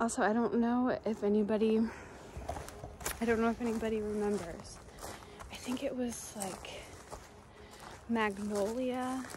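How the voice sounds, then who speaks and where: A woman speaks at a fairly slow pace in a monotone, flat way. The sound is dry with no echo, though background noise is noticeable. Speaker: hiking vlogger. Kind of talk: casual vlog chat. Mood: startled, heart racing. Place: open country. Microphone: phone near.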